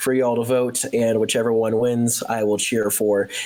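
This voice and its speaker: Noticeable background noise behind a man speaking with an American accent. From United States. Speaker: podcast host. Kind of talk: casual chat.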